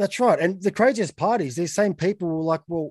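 Someone with an Australian accent talks at a moderate pace with ordinary pitch variation, in a dry, close sound with no echo and a quiet background. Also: man. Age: 20s. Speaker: podcast host. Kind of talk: casual interview chat.

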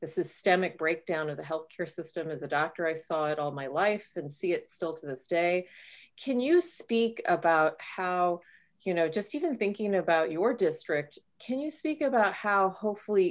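A woman with an unremarkable speaking voice and an American accent, fairly low in pitch, with lively intonation at a moderate pace, in a very clean recording with a silent background. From Texas, south of San Antonio. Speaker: physician and health policy expert. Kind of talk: interview.

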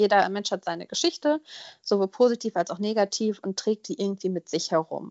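A woman with an unremarkable speaking voice talks at a fairly quick pace. Her medium pitch shows ordinary variation. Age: 20s. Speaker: podcast guest sharing personal story. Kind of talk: personal testimony interview.

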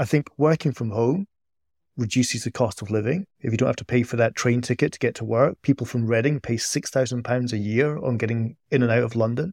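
A man with a Scottish accent talks at a fairly quick pace in a medium pitch. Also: ordinary pitch variation, dry, close sound with no echo, very clean recording, silent background. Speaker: podcast co-host, economist. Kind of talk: interview.

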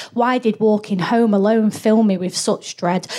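A woman in a normal speaking voice talks at a medium pitch, holding a moderate pace and ordinary pitch variation. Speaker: comedian. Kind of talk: live comedy chat. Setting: stage with audience.

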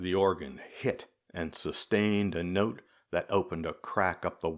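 Here is a natural reading voice. Behind it, all is quiet.

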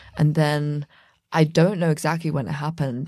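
Against a quiet background, a woman with a southern English accent talks at a moderate pace, her very deep, low pitch carrying a dark, mellow tone and vocal fry. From England, about an hour west of London. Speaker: fashion brand co-founder. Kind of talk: interview. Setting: recording booth in New York City studio.

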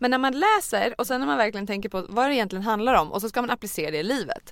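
In a very clean recording with a silent background, a woman talks at a very fast pace in a fairly high voice with vocal fry. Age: 30s. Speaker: mother of three. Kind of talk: casual chat.

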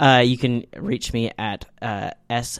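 Speaking at a moderate pace, a man has a medium pitch. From Canada. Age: 20s. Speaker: podcast co-host. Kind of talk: casual chat. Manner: halting, many fillers.

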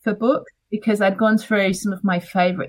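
A woman speaks at a moderate pace with fairly even intonation. Her voice is somewhat breathy. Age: 40s. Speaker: author. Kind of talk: interview.

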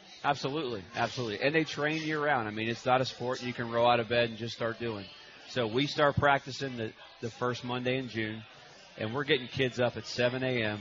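Music plays in the background as the speaker talks at a fairly quick pace with fairly even intonation. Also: man, medium pitch for a man. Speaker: coach. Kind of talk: casual radio interview.

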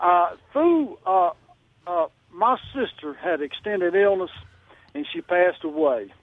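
Speaking with a Southern US accent, a man talks at a fairly slow pace in a high pitch, using lively intonation and long, frequent pauses. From Mississippi. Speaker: caller. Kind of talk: casual chat. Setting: phone call. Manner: halting.

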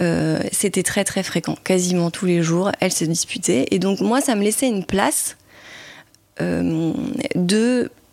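Amid noticeable background noise, a woman talks at a medium pitch and a very slow pace with long, frequent pauses, very even loudness, and ordinary pitch variation. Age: 30s. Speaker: podcast guest sharing her psychoanalysis experience. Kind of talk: testimony. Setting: in the host's home. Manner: halting, many hesitations.

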